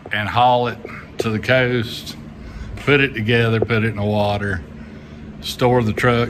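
Noticeable noise runs behind a man who talks fairly slowly. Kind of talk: casual vlog chat. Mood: relaxed, chuckling. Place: workshop. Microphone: phone near.

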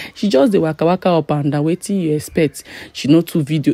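Speaking at a very fast pace with a Nigerian accent, a woman uses a fairly low pitch and ordinary pitch variation in a dry sound with no echo over a quiet background. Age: young. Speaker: vlogger. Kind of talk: casual vlog talk to camera. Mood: excited, amused. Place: hall. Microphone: phone near.

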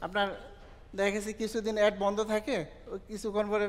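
This is a man with a high-pitched voice. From Bangladesh. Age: 30s. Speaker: online entrepreneur, madrasa graduate; guest. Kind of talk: personal success story testimony. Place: hall.

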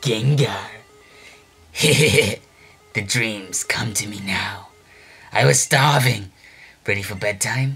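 A menacing, low-pitched put-on character voice at a very slow pace, with long, frequent pauses and faint music in the background. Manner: eerie, menacing, taunting.

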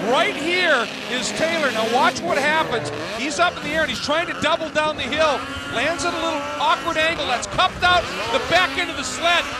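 An excited man speaks at an extremely high pitch in a raised, projected voice. Background noise is noticeable. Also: ordinary pitch variation. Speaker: race commentator. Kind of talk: live race commentary, co-commentator. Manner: quick, excited, rapid play-by-play.

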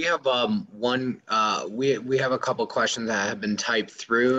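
Speaking at a moderate pace, a man has a bright, sharp tone and fairly even intonation. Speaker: event moderator. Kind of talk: interview. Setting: video call.

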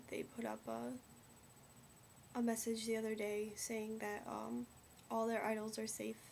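The speaker is a woman. Light background noise is present. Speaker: vlogger. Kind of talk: casual vlog chat. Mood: somber, concerned. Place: home room. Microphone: webcam.

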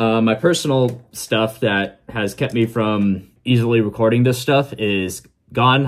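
The man's pitch shows ordinary variation. He talks at a fairly slow pace. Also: quiet background. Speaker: reaction video creator. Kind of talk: casual vlog chat. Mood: relaxed, chatty. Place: home room.

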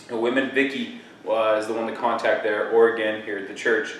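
A man is speaking with audible room echo. There is light background noise. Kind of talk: church announcements. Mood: upbeat, friendly. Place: church. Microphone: camera far.

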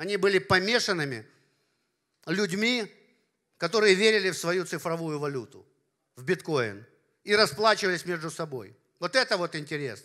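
With a bright, sharp tone and a high pitch, a man talks at a moderate pace, leaving long, frequent pauses. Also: quiet background. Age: 50s. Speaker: party leader and business philosopher; speaker. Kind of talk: conference talk. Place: hall. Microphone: handheld.

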